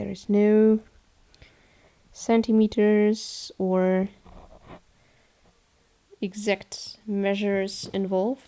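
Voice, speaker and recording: A woman's dark, mellow voice with a German accent, medium in pitch, very slow and monotone, with long, frequent pauses. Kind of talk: tutorial narration. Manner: casual, hesitant.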